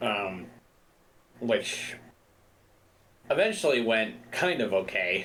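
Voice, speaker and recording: There is audible room echo. It surrounds the voice of a man. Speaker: gaming video creator. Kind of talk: casual gameplay commentary.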